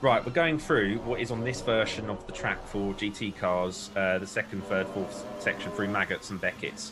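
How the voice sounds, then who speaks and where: The voice moves at a moderate pace with ordinary pitch variation, against noticeable background noise. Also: man. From UK. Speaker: sim racing commentator. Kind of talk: live commentary. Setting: live stream commentary box. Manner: casual, hesitant with fillers.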